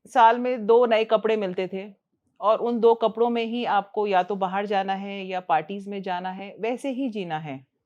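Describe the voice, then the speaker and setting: Over a quiet background, a woman with a fairly high pitch talks in an ordinary speaking voice with ordinary pitch variation, big swings in loudness and hardly any pauses. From northern India, near Delhi. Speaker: ENT doctor. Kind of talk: interview. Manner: conversational.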